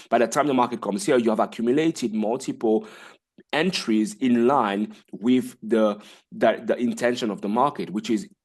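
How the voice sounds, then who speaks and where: A man with a medium-pitched voice swings very widely in pitch against a quiet background. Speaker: forex trading educator. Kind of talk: tutorial. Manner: fast.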